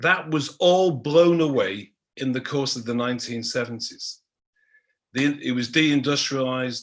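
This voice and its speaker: Speaking at a fairly slow pace, a man with a Manchester accent uses a medium-pitched voice. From Manchester, northern England. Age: 60s. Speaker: history professor. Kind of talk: panel talk.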